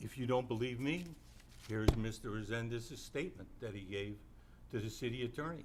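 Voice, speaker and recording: Audible room echo hangs around a man whose voice shows ordinary pitch variation. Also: medium pitch for a man, fairly quick pace. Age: 70s. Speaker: city council member. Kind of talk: public statement at council meeting. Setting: city council chamber. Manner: indignant, emphatic.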